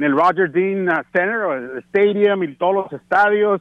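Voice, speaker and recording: A man's voice, high in pitch. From Tijuana, Mexico. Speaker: baseball radio broadcaster. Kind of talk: casual interview.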